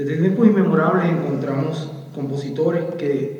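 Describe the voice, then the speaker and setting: With noticeable background noise and audible room echo, a man talks at a fairly slow pace in a fairly high pitch. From Puerto Rico. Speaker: book author and musician. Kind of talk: book presentation speech. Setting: public event with audience. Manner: formal.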